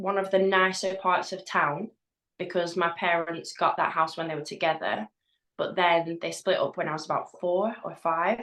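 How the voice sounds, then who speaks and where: A woman speaks with a Lancashire accent. Her pitch is medium. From northern England, East Lancashire. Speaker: hypnotherapist. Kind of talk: casual chat. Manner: halting.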